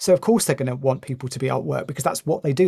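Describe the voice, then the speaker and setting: A man with a British accent speaks in a fairly high pitch with vocal fry and ordinary pitch variation. The recording is very clean, with a silent background. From UK. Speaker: consultant and former teacher. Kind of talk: casual interview conversation.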